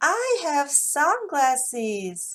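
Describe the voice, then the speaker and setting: Putting on a character voice, a woman speaks high and cheerful, her pitch swinging very widely. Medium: read story. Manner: eager, cheerful.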